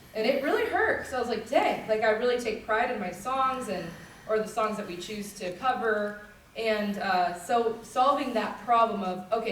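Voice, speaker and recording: Amid noticeable background noise and audible room echo, a woman speaks in an animated tone at a fairly high pitch. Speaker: country singer and band leader teaching a vocal workshop. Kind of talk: music workshop teaching. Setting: workshop at a music festival with audience.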